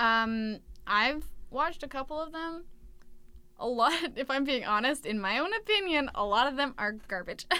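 A raised, projected voice with a bright, sharp tone, very wide pitch swings, a moderate pace and long, frequent pauses. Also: woman, high pitch for a woman. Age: 20s. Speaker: student radio podcast co-host. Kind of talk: casual chat.

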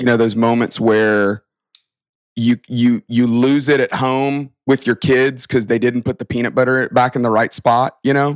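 Speaking with an American accent, a man delivers his words at a fairly slow pace. His intonation is monotone and flat, the sound dry and close with no echo. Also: medium pitch for a man. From US South, Alabama (Tuscaloosa). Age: 40s. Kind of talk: interview.

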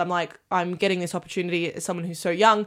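This woman has an Australian accent and fairly low pitch. Her intonation is monotone and flat. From Australia, Armidale NSW. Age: 20s. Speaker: stage manager. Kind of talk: casual chat.

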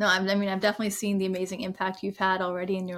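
A woman speaks at a very fast pace with a medium pitch. Her intonation is monotone and flat. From India. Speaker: podcast host. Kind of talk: interview.

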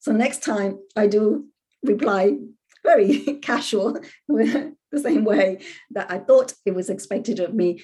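Her voice is fairly high, somewhat breathy, and dark and mellow in tone. The woman speaks at a fairly slow pace with lively intonation. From Puerto Rico. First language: Spanish. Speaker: professor. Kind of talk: interview. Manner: hesitant, many fillers.

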